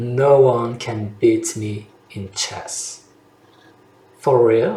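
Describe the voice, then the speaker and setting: Over noticeable background noise, a man speaks with a French accent. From France. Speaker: French language coach. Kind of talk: language lesson to camera.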